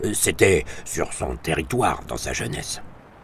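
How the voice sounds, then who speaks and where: A man performs a put-on character voice with a rumbling sound. Background noise is clearly audible. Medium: read story. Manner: grumbling, irritable.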